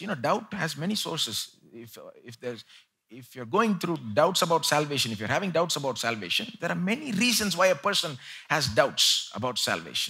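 Vocal fry, very wide pitch swings and big swings in loudness at a moderate pace, over a quiet background. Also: man. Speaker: preacher. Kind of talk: sermon. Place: church. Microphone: headset.

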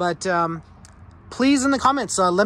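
A man talks with a high pitch in a dry sound with no echo. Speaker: vehicle builder vlogger. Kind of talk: casual vlog chat. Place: street. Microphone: phone near.

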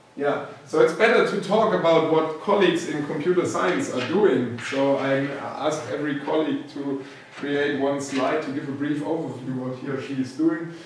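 A man speaks with ordinary pitch variation amid strong room echo and light background noise. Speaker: university professor. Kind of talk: lecture. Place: classroom. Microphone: camera far.

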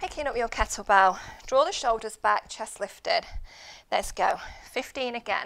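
In an upbeat tone, a woman with a fairly high voice speaks with lively intonation and long, frequent pauses. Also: moderate pace. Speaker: fitness instructor. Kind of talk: live guided workout class, instructing and counting reps. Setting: live online class, video workout. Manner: upbeat, clear and encouraging, giving cues and counting reps; steady, paced, rhythmic. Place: gym.

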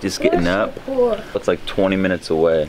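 A man's moderate-paced speech over noticeable background noise. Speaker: family vlogger. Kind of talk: casual vlog chat. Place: street. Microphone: phone near.

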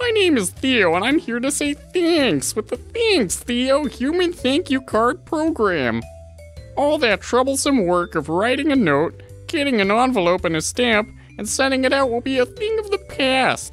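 A man speaks at a moderate pace. Clear music can be heard behind him. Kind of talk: parody commercial pitch. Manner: upbeat, salesy.

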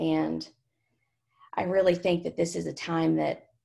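A woman with a Southern US accent speaks at a moderate pace in monotone, flat intonation, her fairly low pitch marked by vocal fry. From Kentucky. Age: 20s. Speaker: student activist. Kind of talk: oral history interview.

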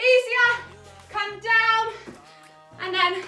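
Over faint background music and audible room echo, a woman uses a raised, projected voice with fairly even intonation. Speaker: fitness instructor. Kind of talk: workout instruction. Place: home room. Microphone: camera far.

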